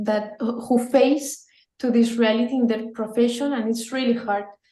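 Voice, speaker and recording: A woman speaks with a high pitch and a dark, mellow tone in a monotone, flat intonation. Her pace is moderate, and the room echo is audible. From Mexico. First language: Spanish. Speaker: pro-life campaign leader. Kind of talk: interview. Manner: halting.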